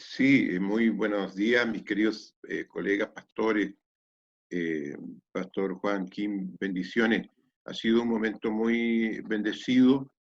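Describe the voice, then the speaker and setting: Slowly and with fairly even intonation, a man speaks in a fairly low voice. The sound is dry and close, with no echo. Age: 60s. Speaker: pastor. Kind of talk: testimony. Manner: hesitant, many fillers.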